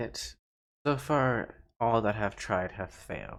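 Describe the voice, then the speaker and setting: Putting on a character voice, a booming man speaks at a fairly slow pace in a medium pitch with ordinary pitch variation. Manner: regal, commanding.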